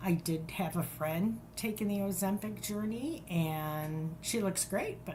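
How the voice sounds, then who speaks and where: A woman with a fairly low pitch and ordinary pitch variation talks at a fairly slow pace, with audible room echo and noticeable background noise. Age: 60s. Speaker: podcast guest. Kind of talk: interview.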